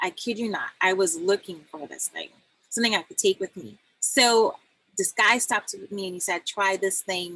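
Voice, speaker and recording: A woman speaks at a moderate pace in a bright, sharp tone. The sound is dry and close with no echo, and her loudness swings widely. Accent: Trinidadian. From Trinidad. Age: 40s. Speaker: health coach and doula. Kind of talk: casual guest talk on live stream. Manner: animated, storytelling with quoted dialogue.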